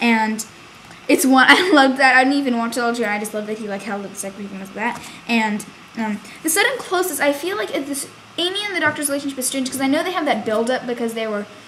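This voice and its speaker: A woman's high-pitched voice at a very fast pace, with lively intonation and big swings in loudness, over noticeable background noise. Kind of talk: casual review talk to camera.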